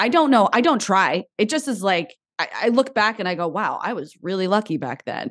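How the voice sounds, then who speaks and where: The background is quiet as a woman speaks at a fairly quick pace. Her fairly high pitch swings very widely. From New Jersey. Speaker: actress and TV host. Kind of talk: interview conversation.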